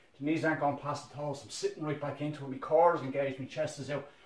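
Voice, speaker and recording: At a very fast pace, a man speaks with a fairly high pitch. Audible room echo can be heard. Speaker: fitness instructor. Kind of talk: guided workout instruction. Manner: energetic, brisk countdown-driven coaching with short commands; encouraging, motivating. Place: home room. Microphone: camera far.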